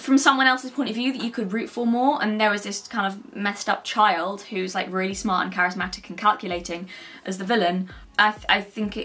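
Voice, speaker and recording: A woman at a very fast pace, with big swings in loudness and ordinary pitch variation. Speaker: book vlogger. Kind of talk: casual vlog chat. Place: home room.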